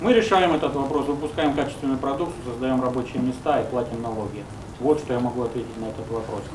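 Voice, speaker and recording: Over noticeable background noise, a man with a medium pitch talks at a very fast pace. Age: 20s. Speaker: politician. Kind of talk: press conference. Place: meeting room. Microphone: podium.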